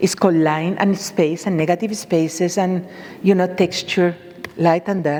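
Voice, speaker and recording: A woman at a fairly slow pace and medium pitch, with noticeable background noise. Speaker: bonsai artist. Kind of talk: presentation. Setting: stage with audience. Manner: animated.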